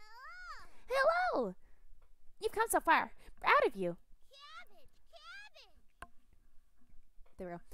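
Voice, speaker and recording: In a squeaky put-on character voice at an extremely high pitch, the speaker moves at a fairly slow pace with long, frequent pauses. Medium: game stream. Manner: teasing, upbeat.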